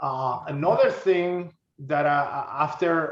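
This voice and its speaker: In a Spanish accent, a man with a fairly high voice speaks with lively intonation. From Honduras. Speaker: crypto investor. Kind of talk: interview. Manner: halting, many fillers and repeats.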